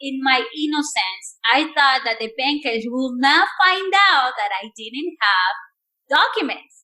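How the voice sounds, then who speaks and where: Raised, projected speech with a Spanish accent, a bright, sharp tone and very wide pitch swings. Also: woman. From Mexico. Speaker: entrepreneur. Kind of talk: podcast interview answer.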